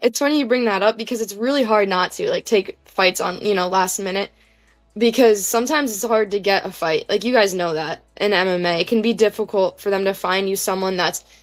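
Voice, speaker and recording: A woman's medium-pitched voice at a moderate pace, fairly even in intonation, with music in the background. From New Jersey. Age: 20s. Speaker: grappler and amateur MMA fighter. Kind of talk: podcast interview.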